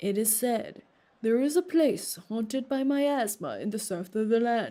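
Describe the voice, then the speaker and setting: A booming, put-on character voice with lively intonation. It goes at a moderate pace. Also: woman, fairly high pitch for a woman. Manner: booming, captivating, majestic.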